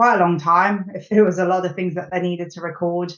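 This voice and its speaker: A woman's medium-pitched voice with a British accent and monotone, flat intonation. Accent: English (UK). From England, Nottingham (East Midlands). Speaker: clinical software strategy executive. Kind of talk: podcast interview. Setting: podcast recording.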